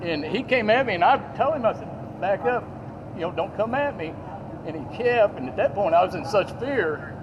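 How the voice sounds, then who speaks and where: Over noticeable background noise, a man with a Southern US accent talks at a fairly quick pace in a high voice with very wide pitch swings. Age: 60s. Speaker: witness at a scene. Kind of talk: statement to police. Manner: halting.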